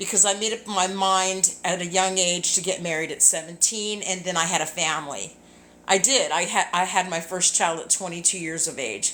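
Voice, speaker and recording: Noticeable background noise sits behind a woman talking at a moderate pace and medium pitch. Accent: American. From Southern California. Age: 60s. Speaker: singer and ministry leader. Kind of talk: casual live video chat. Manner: rambling, hesitant with fillers.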